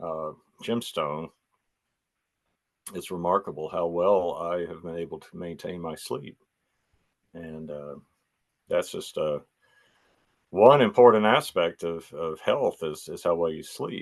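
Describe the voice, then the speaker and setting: In an American accent, the speaker talks at a fairly slow pace, leaving long, frequent pauses, while the loudness swings widely. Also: man. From United States. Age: 60s. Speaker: healing light practitioner. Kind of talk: interview. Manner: hesitant with many fillers.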